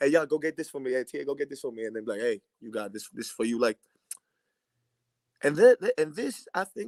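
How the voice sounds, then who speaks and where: A man with a fairly high pitch and a slight Greek accent talks at a fairly quick pace in an animated tone, his lively intonation marked by big swings in loudness and long, frequent pauses, all in a dry, close sound with no echo. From Greece. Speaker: basketball player. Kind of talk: casual chat.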